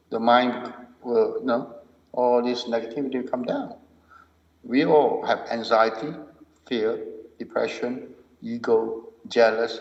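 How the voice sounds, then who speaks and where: With audible room echo, a man speaks at a medium pitch and a fairly slow pace. His intonation is monotone and flat, broken by long, frequent pauses. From Malaysia. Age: 60s. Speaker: martial arts and mindfulness teacher. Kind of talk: podcast interview.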